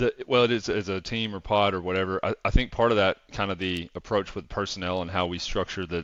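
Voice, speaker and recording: A man's very deep, low voice with a Southern accent, moderate pace and fairly even intonation. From US South. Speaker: revenue operations consultant. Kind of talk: casual chat.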